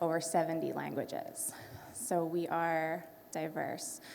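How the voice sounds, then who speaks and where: A woman with a Canadian accent speaks at a very slow pace. Audible room echo and noticeable background noise are present. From Canada. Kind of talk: panel talk.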